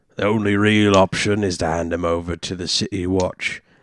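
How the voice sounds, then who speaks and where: In a put-on character voice, a man speaks fairly slowly at a very deep, low pitch, on a very clean recording with a silent background. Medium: actual play. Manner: gruff, paternal.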